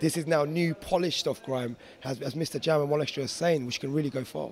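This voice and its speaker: A man with a London accent and a fairly high pitch, very fast pace and fairly even intonation, over noticeable background noise. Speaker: DJ and producer. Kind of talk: interview.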